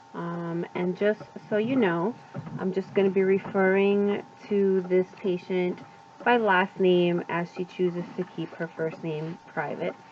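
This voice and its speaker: Through noticeable background noise, a woman of medium pitch speaks at a fairly slow pace with fairly even intonation. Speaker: nursing student. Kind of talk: interview questions.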